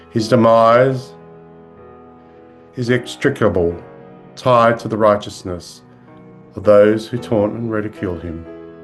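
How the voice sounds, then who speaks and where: A man with a fairly low pitch speaks at a fairly slow pace, leaving long, frequent pauses. His loudness swings widely over music in the background. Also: ordinary pitch variation. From Australia. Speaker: clergy. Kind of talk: sermon.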